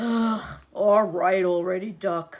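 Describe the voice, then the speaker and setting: Pitched in the middle range, this is a put-on character voice. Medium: read story. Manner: grumbling, curt.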